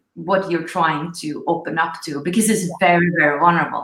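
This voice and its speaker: A woman with a Norwegian accent speaks at a moderate pace in a fairly low pitch, her intonation fairly even. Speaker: spiritual coach, show host. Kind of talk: live online interview. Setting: livestream. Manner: halting.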